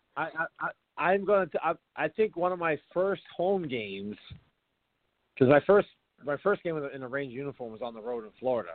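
At a moderate pace, a man speaks in a fairly high pitch with very wide pitch swings, big swings in loudness and long, frequent pauses. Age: 40s. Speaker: retired pro hockey player. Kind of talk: casual chat.

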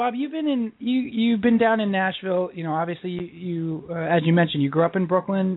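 This man speaks at a fairly quick pace in a high voice with ordinary pitch variation.

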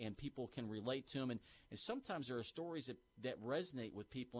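Speaking very fast, a man uses a medium pitch and ordinary pitch variation. His tone is enthusiastic. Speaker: university sports information director. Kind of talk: radio sports talk interview, upbeat and conversational. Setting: radio studio. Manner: enthusiastic, fluent, promotional.

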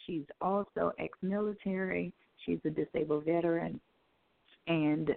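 In a plain, everyday voice, a woman talks at a fairly slow pace with a fairly low pitch. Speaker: cosmetologist and salon owner. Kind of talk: radio interview. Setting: studio.

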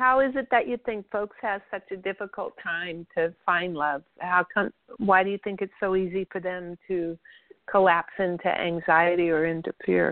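Here is a woman with an unremarkable speaking voice. She keeps a moderate pace and ordinary pitch variation. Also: medium pitch for a woman. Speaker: radio host and spiritual practitioner. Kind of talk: radio interview.

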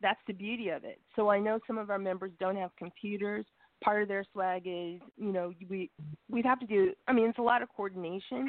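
At a fairly quick pace, a woman with an unremarkable speaking voice talks at medium pitch and ordinary pitch variation. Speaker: caller. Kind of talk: casual chat. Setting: phone call.

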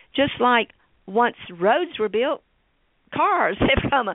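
A woman speaks with a Tennessee accent and a fairly high pitch. Her pace is moderate. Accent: US Southern (Tennessee). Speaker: state senator. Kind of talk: interview.

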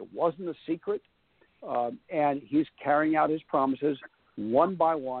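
In a normal speaking voice, a man talks at a fairly slow pace with a fairly high pitch and ordinary pitch variation. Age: 60s. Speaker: foreign policy author and former journalist. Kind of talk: radio interview. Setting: phone call.

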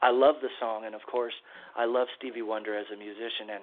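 A man with an American accent and a plain, everyday voice, medium pitch, fairly even intonation and a fairly quick pace. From California, San Diego. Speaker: singer-songwriter. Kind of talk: interview.

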